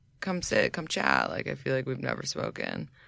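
In a very clean recording with a silent background, a woman with an American accent speaks at a moderate pace in a very deep, low, bright, sharp voice with vocal fry and very wide pitch swings. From New York. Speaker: podcast host and social media consultant. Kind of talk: casual chat. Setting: studio.

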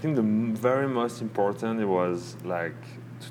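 Speaking with a French accent, a man keeps a moderate pace and fairly low pitch with ordinary pitch variation. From southern France, Nice. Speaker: beginner surfer. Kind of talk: casual chat. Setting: cafe by a fire.

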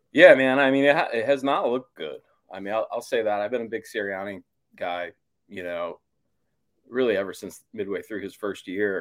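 With an unremarkable speaking voice, a man talks at a medium pitch and a moderate pace with ordinary pitch variation. His loudness swings widely on a very clean recording with a silent background. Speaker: sports columnist. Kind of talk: sports talk interview.

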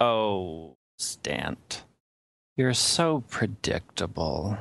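In a put-on character voice, a man with a fairly low pitch talks at a very slow pace with very wide pitch swings. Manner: taunting, smug.

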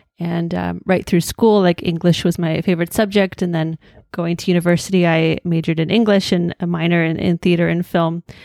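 In an Ontario accent, a woman speaks fairly quickly in a fairly low, flat monotone. Her tone is dark and mellow, and the sound is dry and close with no echo. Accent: Canadian (Ontario). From Hamilton, Ontario, Canada. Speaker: blogger and journalist. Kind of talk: casual interview.

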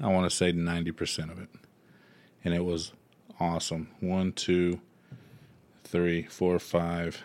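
A man's very deep, low voice in a Southern US accent, monotone and flat, at a fairly slow pace with long, frequent pauses, on a very clean recording with a silent background. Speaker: music podcast co-host. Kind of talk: casual chat.

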